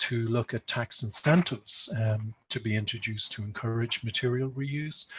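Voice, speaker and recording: Recorded dry and close with no echo over a silent background, a man speaks somewhat breathily at a moderate pace and medium pitch. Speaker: conservation speaker. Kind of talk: conference presentation.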